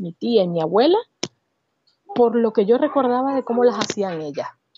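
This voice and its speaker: This woman has a normal speaking voice. Her pitch is fairly high and her intonation lively. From Venezuela, Barquisimeto. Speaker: advertising professional. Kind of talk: interview conversation.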